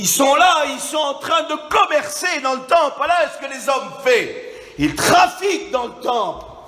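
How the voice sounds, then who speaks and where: The speaker uses a raised, projected voice with an animated tone, ordinary pitch variation and big swings in loudness at a fairly slow pace. Noticeable background noise and audible room echo fill the recording. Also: man, extremely high pitch for a man. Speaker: preacher. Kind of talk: sermon. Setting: church.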